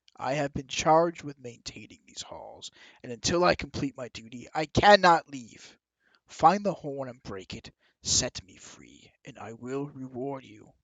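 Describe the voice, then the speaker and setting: A man performs in a put-on character voice. His pitch sits fairly high. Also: moderate pace. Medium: actual play. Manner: guarded, measured, weary.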